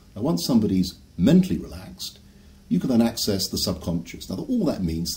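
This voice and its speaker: A man speaks at a fairly quick pace with ordinary pitch variation. His tone is dark and mellow, and somewhat breathy. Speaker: hypnotherapist. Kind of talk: promotional talk to camera.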